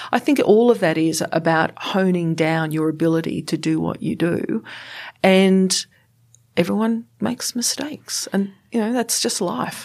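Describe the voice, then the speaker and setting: A woman with a normal speaking voice talks at a fairly slow pace, medium pitch and lively intonation. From England then Canada, Australia from teens. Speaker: senior government official. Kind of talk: interview conversation.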